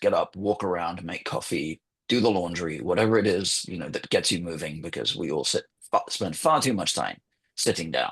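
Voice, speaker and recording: This man speaks fairly quickly with a British accent and a very deep, low pitch. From England, London. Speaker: journalist and former magazine editor. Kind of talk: guest talk in online webinar.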